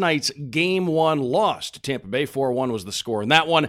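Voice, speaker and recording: On a very clean recording with a silent background, a man with a plain, everyday voice talks at a moderate pace with lively intonation. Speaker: podcast co-host. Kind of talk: team podcast banter.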